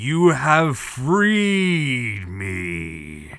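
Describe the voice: A man's put-on character voice at medium pitch, with very wide pitch swings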